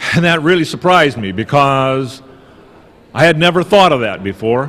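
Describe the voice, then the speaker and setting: Here is an ordinary speaking voice. It moves at a moderate pace with lively intonation. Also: man, fairly high pitch for a man. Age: 60s. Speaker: political activist. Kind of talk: conference talk.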